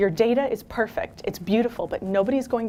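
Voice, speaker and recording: Words come at a very fast pace with ordinary pitch variation. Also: woman. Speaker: keynote speaker, data strategy consultant. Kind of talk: conference keynote talk. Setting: stage with live audience. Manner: animated.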